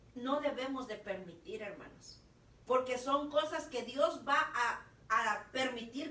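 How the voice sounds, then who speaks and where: In a room with audible echo, a woman projects a raised, high voice with a bright, sharp tone and lively intonation at a fairly slow pace. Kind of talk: preaching talk. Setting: online radio broadcast.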